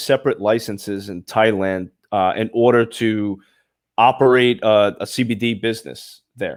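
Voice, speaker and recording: A man is speaking. He has a Brooklyn accent. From Brooklyn, New York. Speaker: podcast host. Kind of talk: casual interview chat. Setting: live show.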